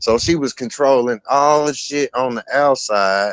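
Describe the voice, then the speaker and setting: Heard in a dry, close recording with no echo, a man at medium pitch talks at a very slow pace with ordinary pitch variation. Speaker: podcast host. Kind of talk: casual chat.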